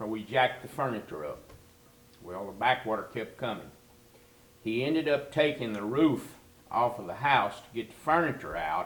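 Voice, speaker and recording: A man's medium-pitched voice at a moderate pace, with lively intonation, big swings in loudness and long, frequent pauses over noticeable background noise. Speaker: interviewee who grew up on a swamp refuge. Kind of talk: interview answer, storytelling about childhood.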